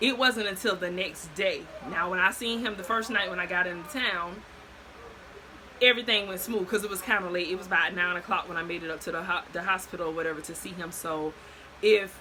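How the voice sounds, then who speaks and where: Someone with an American accent speaks at a fairly quick pace, with big swings in loudness and noticeable background noise. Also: woman, medium pitch for a woman, ordinary pitch variation. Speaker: storyteller vlogger. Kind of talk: casual storytime monologue. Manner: fast.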